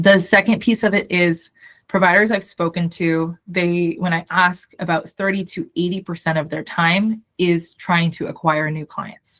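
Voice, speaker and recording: Here is an unremarkable speaking voice from a woman with a fairly low pitch. She talks at a fairly slow pace with fairly even intonation. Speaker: startup founder. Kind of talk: video call update meeting.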